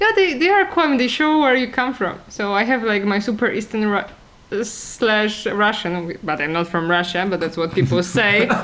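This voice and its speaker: The intonation is lively, with hardly any pauses. Noticeable background noise runs underneath. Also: woman, fairly high pitch for a woman, moderate pace. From Poland. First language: Polish. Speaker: talk show co-host. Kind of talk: casual chat. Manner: halting, many fillers.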